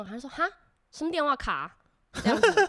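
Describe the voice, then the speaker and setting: The speaker here is a woman with lively intonation. She races along at a very fast pace. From Taiwan. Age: 20s. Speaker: former exchange student. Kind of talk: casual chat.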